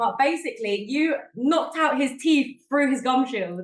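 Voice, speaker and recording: A woman in a South London accent, high-pitched and animated, with lively intonation at a fairly slow pace. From South London, England. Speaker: MMA show host. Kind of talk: casual interview chat.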